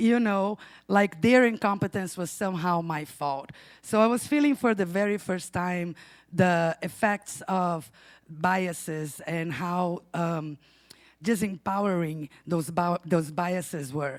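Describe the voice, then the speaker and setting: In a Brazilian Portuguese accent, a woman talks at a very slow pace with a fairly low pitch and ordinary pitch variation. The recording is very clean, with a silent background. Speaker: storyteller, bookstore owner. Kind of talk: live storytelling.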